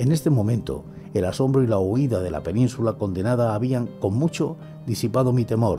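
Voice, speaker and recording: A man speaks at a moderate pace with lively intonation. Clear music plays in the background. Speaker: ASMR storyteller / narrator. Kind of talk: horror story reading, ASMR. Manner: whispering, soft.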